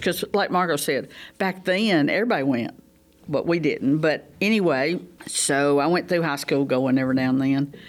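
With a Southern US accent, a woman speaks at a moderate pace in a very deep, low pitch, her intonation lively. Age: 70s. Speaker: small group leader. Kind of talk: testimony. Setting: studio.

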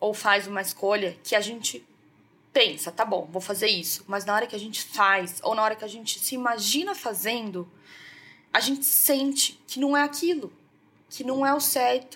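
A woman speaks in a bright, sharp tone. Her pace is fairly slow. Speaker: podcast host, self-help and emotional healing. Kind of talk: casual solo talk to listeners. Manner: warm, conversational with fillers.

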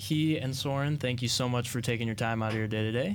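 Medium in pitch for a man, his voice is a plain, everyday voice with ordinary pitch variation. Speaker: student podcast host. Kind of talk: interview.

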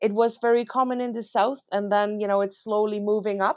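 A woman speaks with a Dutch accent at a fairly high pitch. The background is quiet. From Netherlands. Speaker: veterinary professor. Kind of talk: interview.

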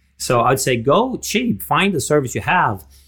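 This man's voice is somewhat breathy. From Denmark. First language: Danish. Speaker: public speaking coach. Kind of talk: interview.

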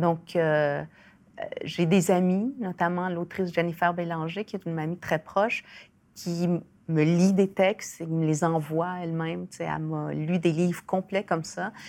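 In a very clean recording with a silent background, a woman speaks in a fairly low voice with fairly even intonation. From Chile, raised in Quebec from age 7. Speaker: writer and sociologist. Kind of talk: interview. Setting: studio. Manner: halting.

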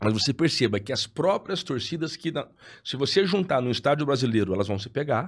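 A man with a normal speaking voice talks at a fairly quick pace and fairly high pitch with lively intonation, on a very clean recording with a silent background. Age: 30s. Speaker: federal deputy, politician. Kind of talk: casual chat.

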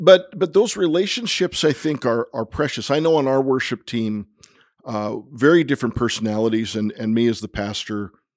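A man with an ordinary speaking voice talks in a medium pitch with lively intonation. The recording is very clean, with a silent background. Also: moderate pace. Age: 50s. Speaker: pastor. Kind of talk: casual chat. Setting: in person, visiting Copenhagen.

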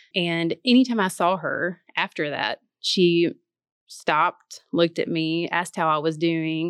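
A woman with a Tennessee accent speaks at a fairly slow pace, her fairly low pitch showing ordinary variation. The recording is very clean with a silent background, and the sound is dry and close with no echo. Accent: Southern US (Tennessee). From US South, Martin, Tennessee. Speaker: church staff and Bible study writer. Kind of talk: casual chat.

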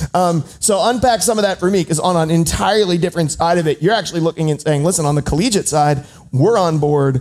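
Over noticeable background noise, a man with a high-pitched voice talks in an upbeat tone at a fairly quick pace. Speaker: podcast host. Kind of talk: live panel interview. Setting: stage with audience. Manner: upbeat, joking.

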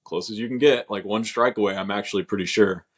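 Recorded very cleanly against a silent background with a dry, close sound and no echo, a man speaks with an American accent at a fairly low pitch and fairly even intonation. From Oklahoma City, Oklahoma. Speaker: professional baseball pitcher. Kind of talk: interview, casual chat. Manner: hesitant, many fillers.

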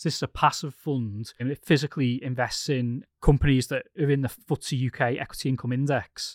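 In a British accent, the voice races at a very fast pace with hardly any pauses and big swings in loudness, recorded dry and close with no echo, very clean, with a silent background. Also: man, fairly high pitch for a man. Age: 30s. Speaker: podcast host, investment journalist. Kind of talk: casual chat, financial podcast discussion.

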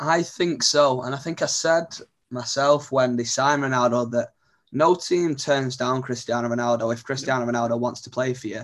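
A man talks at a fairly quick pace with medium pitch and fairly even intonation. It is a normal speaking voice. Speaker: football journalist guest. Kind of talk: casual sports chat.

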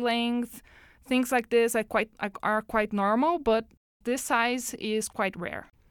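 A woman with a Portuguese accent speaks at a high pitch. The recording is very clean, with a silent background. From Brazil. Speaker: oceanographer. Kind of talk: interview. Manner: halting.

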